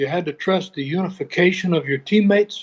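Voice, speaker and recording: This man's voice has a high pitch. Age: 80s+. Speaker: retired baseball pitcher and pitching coach. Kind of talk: interview. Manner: halting, many repeated words.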